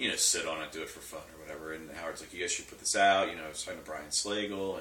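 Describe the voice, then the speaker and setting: A man speaks at a very fast pace with big swings in loudness. There is noticeable background noise and audible room echo. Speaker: thrash metal band member. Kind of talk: casual interview. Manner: hesitant, filler-heavy; mumbling, quiet.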